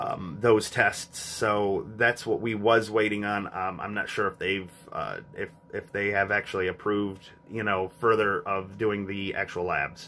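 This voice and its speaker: Over music in the background, a man talks at a fairly slow pace in a fairly low pitch with fairly even intonation. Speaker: family vlogger. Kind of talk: casual vlog chat. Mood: subdued, calm update. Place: home room. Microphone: phone near.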